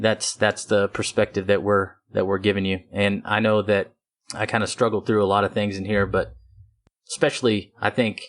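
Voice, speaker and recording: Over a quiet background, the speaker talks at a moderate pace in a West Texas accent. The intonation is monotone and flat. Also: man, fairly low pitch for a man. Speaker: podcast host. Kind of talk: casual chat.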